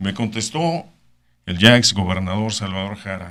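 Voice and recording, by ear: A man's low voice, bright and sharp in tone, at a moderate pace with lively intonation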